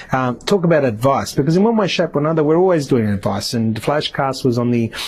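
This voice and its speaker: With noticeable noise behind him, a man speaks very rapidly and keeps his volume very even. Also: fairly high pitch for a man, lively intonation. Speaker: podcast host. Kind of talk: solo podcast monologue. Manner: fast; hesitant, many fillers.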